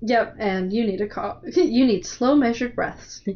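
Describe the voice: A woman with a fairly high pitch and a slightly mellow tone speaks at a fairly slow pace, with ordinary pitch variation.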